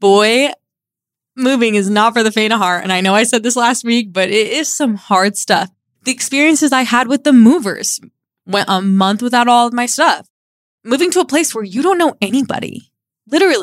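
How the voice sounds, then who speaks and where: Here a woman speaks at a moderate pace. Her pitch is fairly high and her intonation lively. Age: 20s. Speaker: podcast host. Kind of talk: casual solo podcast monologue. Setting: home studio.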